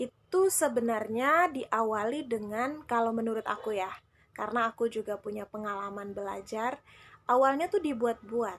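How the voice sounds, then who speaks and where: The recording is very clean, with a silent background. A woman talks at a fairly slow pace and a fairly high pitch, with ordinary pitch variation. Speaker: Quran recitation teacher. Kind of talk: live stream Q&A tips talk. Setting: Instagram live. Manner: casual, chatty.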